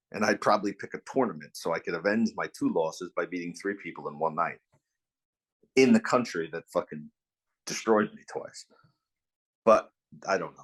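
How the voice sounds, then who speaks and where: A man in a New York accent talks with long, frequent pauses. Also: moderate pace. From New York, Long Island. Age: 40s. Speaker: bare knuckle fighter. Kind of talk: interview.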